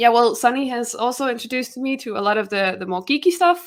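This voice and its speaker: A woman speaks with a Danish accent. Her pitch is high. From Denmark. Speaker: YouTuber and trivia competitor. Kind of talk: interview self-introduction.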